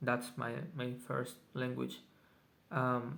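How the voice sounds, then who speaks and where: A Spanish accent with audible room echo. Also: man. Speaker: vlogger. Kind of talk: casual video journal. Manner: halting, many fillers.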